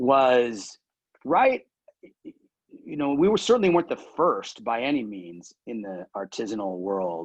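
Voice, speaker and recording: A man at a medium pitch talks at a fairly slow pace, his voice showing very wide pitch swings. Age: 60s. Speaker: cheesemaker and food company founder. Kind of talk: casual interview. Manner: halting.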